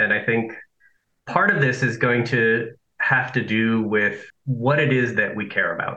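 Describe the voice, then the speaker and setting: A man talks in an ordinary speaking voice, moving at a fairly slow pace with ordinary pitch variation. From Nicaragua, raised in Southern California. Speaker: philosophy professor. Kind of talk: interview.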